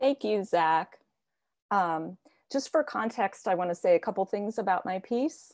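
Against a quiet background, a woman speaks with an American accent. She talks at a fairly slow pace. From US (Virginia, near Washington DC). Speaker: poet. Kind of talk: spoken word poetry reading. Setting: video call. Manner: earnest, solemn. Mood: earnest, reflective. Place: home room. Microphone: earbuds.

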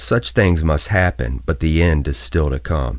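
Amid noticeable background noise, a man with a very deep, low pitch speaks at a fairly slow pace with lively intonation. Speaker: radio voice-over artist. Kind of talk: scripture reading.

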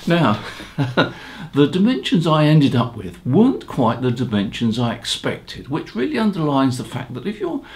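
Faint music plays in the background as a man with a slightly mellow tone speaks at a fairly slow pace, his pitch swinging very widely.

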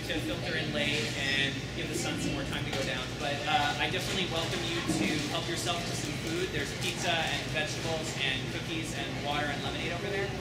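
A man talks at a very fast pace through loud background noise and audible room echo. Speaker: event moderator. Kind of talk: event announcements. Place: hall. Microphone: camera far.

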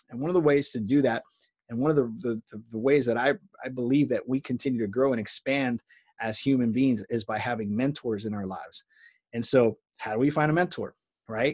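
A man talking at a fairly quick pace, with ordinary pitch variation, over a quiet background. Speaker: coach or business mentor. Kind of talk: casual talk to camera. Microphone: webcam.

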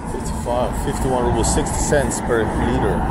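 Loud background noise behind a man at a moderate pace. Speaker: walking vlogger. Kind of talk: casual vlog chat. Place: street. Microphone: phone near.

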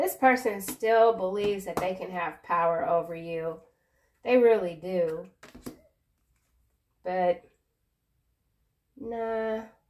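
The woman speaks with ordinary pitch variation. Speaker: tarot reader. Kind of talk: tarot reading commentary. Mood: calm, reassuring, playful. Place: home room. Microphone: phone near.

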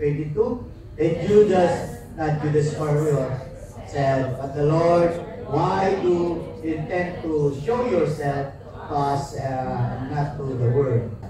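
Speaking at a very slow pace, a man with a fairly high pitch shows ordinary pitch variation against noticeable background noise. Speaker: church reader or emcee. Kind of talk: reading scripture aloud.

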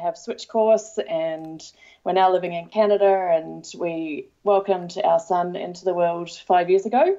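A woman with an Australian accent speaks at a fairly slow pace, using a fairly low pitch and fairly even intonation. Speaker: parenting blogger and author. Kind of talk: casual chat.

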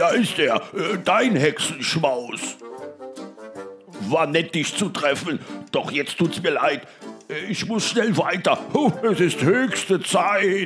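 A man's loud, high-pitched, put-on character voice at a very slow pace, with clear music in the background. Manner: menacing, greedy.

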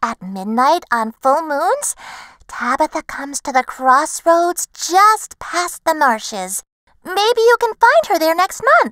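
A woman's put-on character voice, extremely high-pitched, with very wide pitch swings and a fairly slow pace, in a dry, close recording with no echo. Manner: kindly, amused.

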